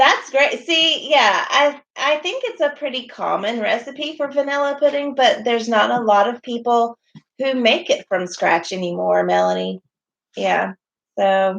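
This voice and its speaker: A woman's high-pitched voice with a Southern US accent and lively intonation. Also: fairly slow pace. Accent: mild Southern. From US South. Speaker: homesteading vlogger. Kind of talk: livestream chat. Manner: clear enunciation.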